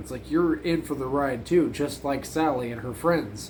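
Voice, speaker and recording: Vocal fry runs through speech at a moderate pace with ordinary pitch variation and audible room echo. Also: man. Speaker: horror movie reviewer. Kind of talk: casual video review. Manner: casual, filler-heavy.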